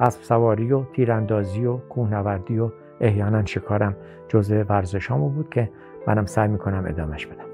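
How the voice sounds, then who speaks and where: A man talks at a moderate pace while music sounds clearly behind him. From Bam, Kerman, Iran. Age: 60s. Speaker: farmer and horse breeder; retired teacher. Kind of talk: documentary interview answer. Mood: proud, reminiscing. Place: home room.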